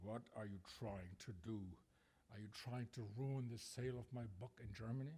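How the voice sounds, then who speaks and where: A man uses a put-on character voice at a medium pitch. He growls in an angry tone at a moderate pace. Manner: growling, angry.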